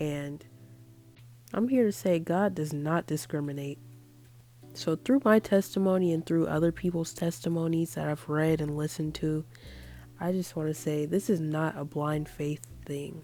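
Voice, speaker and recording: With music in the background, a woman with a very deep, low voice speaks at a moderate pace and ordinary pitch variation. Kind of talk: casual talk to camera, faith testimony. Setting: earbud microphone. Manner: casual, conversational.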